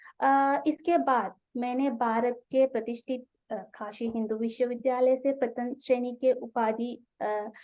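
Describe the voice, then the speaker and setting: Speaking in a Sri Lankan accent, a woman uses a high pitch and a flat, monotone delivery. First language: Sinhala (speaking Hindi). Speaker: Hindi researcher and YouTuber teaching Hindi. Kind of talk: web seminar talk. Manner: hesitant, frequent filler 'a'.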